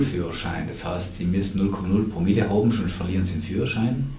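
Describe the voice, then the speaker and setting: Noticeable background noise and audible room echo surround a man's fairly low voice. He speaks at a moderate pace with ordinary pitch variation. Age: 50s. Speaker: addiction prevention director. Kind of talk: casual chat.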